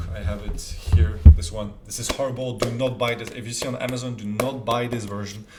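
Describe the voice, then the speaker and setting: With noticeable background noise and audible room echo, a man talks at a fairly quick pace in a medium pitch, with hardly any pauses. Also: ordinary pitch variation. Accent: French. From France. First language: French. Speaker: self-improvement youtuber. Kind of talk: casual talk to camera.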